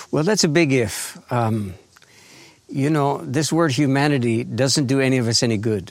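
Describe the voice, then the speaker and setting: A man in an unremarkable speaking voice talks at medium pitch and a moderate pace, his loudness very even and his intonation lively. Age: 60s. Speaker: author and grief educator, farmer. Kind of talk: interview. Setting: remote recording at his farm.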